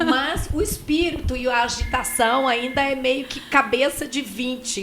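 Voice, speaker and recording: A woman speaks at a high pitch with ordinary pitch variation. Noticeable background noise is present. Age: 50s. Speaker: radio co-host. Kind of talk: casual chat. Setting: studio.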